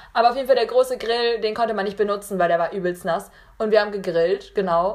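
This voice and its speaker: Talking at a very fast pace, a woman has a medium pitch with ordinary pitch variation. Her tone is animated. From Munich, Bavaria. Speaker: podcast host. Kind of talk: casual chat.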